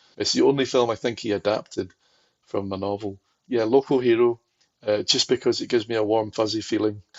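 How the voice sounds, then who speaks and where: In a Glaswegian accent, a man talks at a fairly quick pace with fairly even intonation. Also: medium pitch for a man. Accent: Glaswegian Scottish. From Scotland, Glasgow. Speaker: film archivist. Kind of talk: podcast interview.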